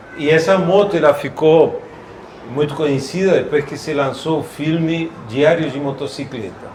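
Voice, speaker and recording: A man with a fairly high pitch and fairly even intonation, amid audible room echo and noticeable background noise. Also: moderate pace. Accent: Argentine. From Argentina. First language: Spanish (speaking Portuguese). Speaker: classic vehicle collector. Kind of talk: casual chat. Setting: shopping mall exhibition.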